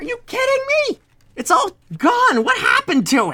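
A squeaky, put-on character voice sits at an extremely high pitch. It moves at a moderate pace. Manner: complaining, incredulous.

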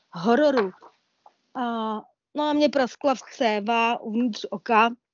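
A woman with a fairly high pitch uses an ordinary speaking voice. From Olomouc region, Moravia. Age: 40s. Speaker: blind traveller. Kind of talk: interview. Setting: online talk.

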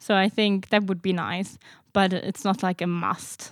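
On a very clean, dry, close recording with no echo and a silent background, a woman with a German accent speaks in a medium pitch with monotone, flat intonation. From Germany. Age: 20s. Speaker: master's student. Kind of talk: casual interview.

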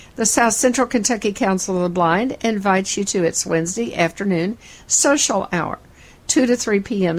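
With an unremarkable speaking voice, a woman talks at a moderate pace, medium pitch and ordinary pitch variation. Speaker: podcast host. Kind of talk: news reading.

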